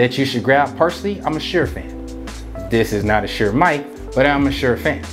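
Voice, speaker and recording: Clear music plays behind a man who speaks at a fairly quick pace. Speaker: DJ giving advice. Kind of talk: casual vlog tutorial. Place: home room.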